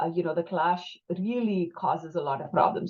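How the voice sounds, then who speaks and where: A woman with a Tamil accent talks at a fairly quick pace with a fairly low pitch. Her voice is somewhat breathy, with ordinary pitch variation. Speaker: clinician working with young people and families. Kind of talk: panel discussion.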